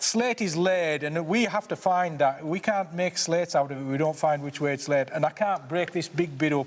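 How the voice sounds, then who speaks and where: A man with a Cumbrian accent speaks against noticeable background noise. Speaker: slate miner. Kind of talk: casual chat. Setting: underground mine. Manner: animated.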